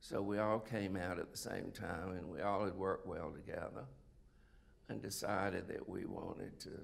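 A man with a South Carolina accent at a moderate pace. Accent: Southern US (South Carolina). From US South, South Carolina (Sumter). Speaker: retired oncologist. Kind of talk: interview, life story. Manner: halting, many fillers. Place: stage.

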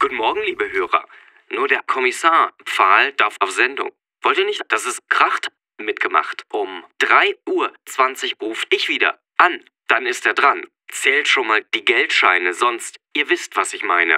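With a dry, close sound and no echo, a man does a sing-song put-on character voice at a moderate pace, pausing long and often. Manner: singsong rhyming, oddly stressed, mocking.

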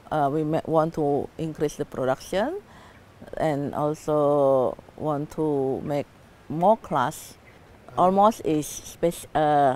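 With an Indonesian accent, this woman speaks at a very slow pace with long, frequent pauses, her very deep, low voice holding a fairly even intonation in a dry sound with no echo. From Indonesia, Medan, North Sumatra; North Sumatra, Indonesia. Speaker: social entrepreneur. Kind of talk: project pitch. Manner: halting, many fillers. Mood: calm, friendly. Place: garden.

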